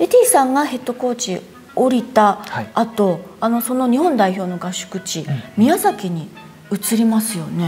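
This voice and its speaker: A woman's voice with lively intonation and faint music in the background. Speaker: newspaper reporter. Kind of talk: news interview host. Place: cafe. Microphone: lapel.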